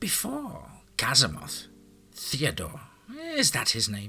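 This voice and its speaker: A man is doing a put-on character voice. He talks at a fairly slow pace. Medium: read story. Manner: sharp, defensive.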